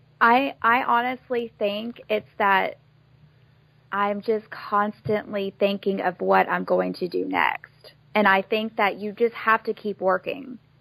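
A woman speaks loudly at medium pitch and a very slow pace, her tone bright and sharp. Her intonation stays fairly even, and the sound is dry and close with no echo. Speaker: spray tan studio owner. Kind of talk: casual interview. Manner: loud talker.

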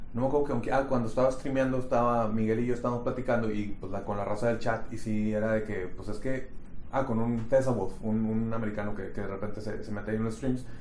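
In a room with audible echo, a man rattles along at a very fast pace with hardly any pauses, his medium pitch delivered in a monotone, flat intonation. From Mexico, Monterrey. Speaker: podcast co-host. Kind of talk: casual chat.

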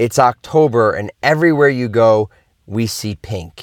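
A man speaks in a plain, everyday voice at a medium pitch and a fairly slow pace. The recording is very clean, with a silent background and a dry, close sound with no echo. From US Northeast, Philadelphia. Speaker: motivational speaker and podcast host. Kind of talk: motivational monologue.

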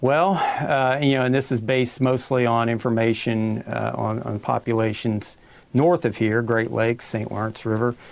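A man talks in an Appalachian accent. His intonation is fairly even and his pace moderate. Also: medium pitch for a man. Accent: eastern Kentucky Appalachian. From Pike County, eastern Kentucky. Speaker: fisheries biologist. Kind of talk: expert interview.

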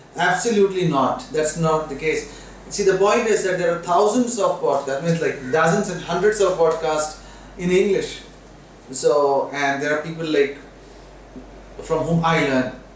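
A man's high-pitched voice at a moderate pace with ordinary pitch variation, amid noticeable background noise and audible room echo. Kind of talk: casual chat.

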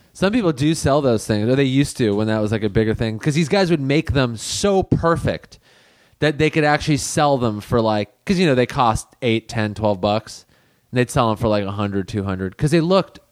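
This speaker has a normal speaking voice and an American accent, talking at a moderate pace. The intonation is lively and the loudness very even. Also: man, medium pitch for a man. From Los Angeles, US. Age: 30s. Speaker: comedian. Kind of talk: casual chat.

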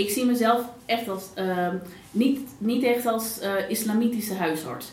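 Amid noticeable background noise and audible room echo, a woman with a fairly high voice speaks at a moderate pace with ordinary pitch variation. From Netherlands, Pakistani family. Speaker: general practitioner. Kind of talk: interview conversation. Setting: small live audience. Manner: hesitant, many fillers.

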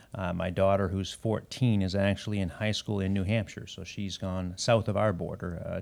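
Speaking at a fairly quick pace, a man with a very deep, low pitch keeps a monotone, flat intonation. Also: very clean recording, silent background. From Canada, Ontario. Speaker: former tech company CEO. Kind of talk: interview.

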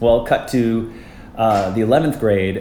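A speaker with a Canadian Prairies accent is heard with audible room echo. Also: man. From Canada, Winnipeg. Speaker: Broadway ensemble dancer and actor. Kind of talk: casual interview.

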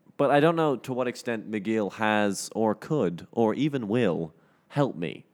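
A man with a fairly low pitch and lively intonation speaks in a normal speaking voice, recorded very cleanly with a silent background. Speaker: student podcast co-host. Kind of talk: casual chat.

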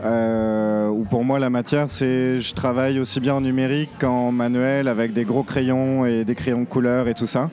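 Over noticeable background noise, a man talks at a fairly slow pace with hardly any pauses and very even loudness. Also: medium pitch for a man, fairly even intonation. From France, Nantes. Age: 20s. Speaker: illustrator. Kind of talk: interview. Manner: halting, many fillers.

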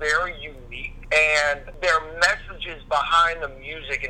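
A man speaks with an American accent. There is noticeable background noise. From US South, Louisiana. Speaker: guest, friend of host. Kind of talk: casual chat.

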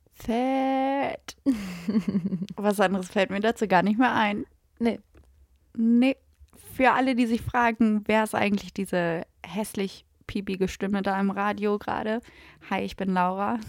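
A woman speaks fairly slowly at a medium pitch with ordinary pitch variation. Her long, frequent pauses stand out on a very clean recording with a silent background. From Lower Saxony, Gifhorn near Braunschweig. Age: 20s. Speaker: podcast host. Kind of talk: casual chat.

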